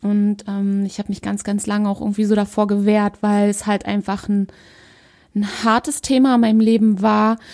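A medium-pitched woman's voice, monotone and flat, at a moderate pace. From Germany, Berlin. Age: 30s. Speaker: holistic coach, podcast host. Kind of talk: solo podcast monologue. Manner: hesitant, many fillers.

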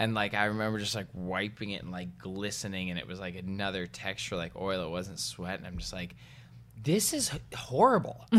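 At a fairly quick pace, a man with a very deep, low voice talks with ordinary pitch variation amid audible room echo. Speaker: podcast co-host. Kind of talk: casual chat. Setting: home garage. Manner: loud when expressive; animated.

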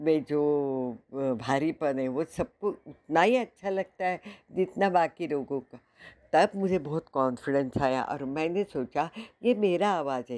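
A woman's very deep, low voice is captured in a very clean recording against a silent background. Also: lively intonation, dry, close sound with no echo. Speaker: actress, model and voice-over applicant. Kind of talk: self-introduction voice demo.

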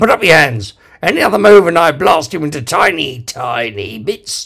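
A put-on character voice from a man, fairly high-pitched, with very wide pitch swings at a moderate pace. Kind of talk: comic overacting. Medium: read story. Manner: shouting, strained with fury.

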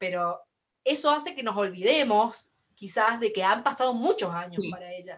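Her voice is a normal speaking voice, with lively intonation and a fairly high pitch for a woman. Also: moderate pace. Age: 20s. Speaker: podcast host. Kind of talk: casual chat.

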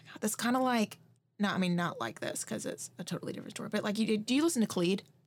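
This woman talks very fast, her loudness swinging widely and her voice somewhat breathy. Her pitch is fairly high, with ordinary variation. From Georgia, near Augusta. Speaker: podcast host. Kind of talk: casual interview; scripted narration.

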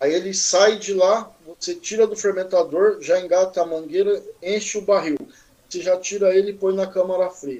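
A man's high-pitched voice keeps a fairly even intonation and a moderate speed. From Mogi das Cruzes, São Paulo state, Brazil. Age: 40s. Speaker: craft brewer. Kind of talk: casual interview chat.

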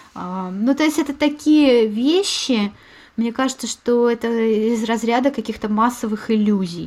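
At a fairly slow pace, a woman speaks in a fairly high pitch with ordinary pitch variation. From Moscow, Russia. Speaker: podcast host. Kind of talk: casual chat.

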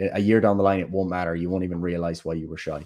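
The pace is very fast. Intonation stays monotone and flat. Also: man, quiet background. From Ireland, Kerry. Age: 20s. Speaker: personal trainer and medical student. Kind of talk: casual interview conversation.

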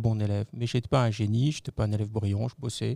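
A man's voice with a dark, mellow tone comes through dry and close, with no echo, on a very clean recording with a silent background. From Lorraine, eastern France (Metz). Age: 50s. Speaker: business executive. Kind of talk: interview.

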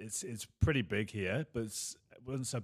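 A man with an English accent talks at a moderate pace with ordinary pitch variation. The recording is very clean, with a silent background. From England. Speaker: former rugby league player, podcast co-host. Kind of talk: casual chat.

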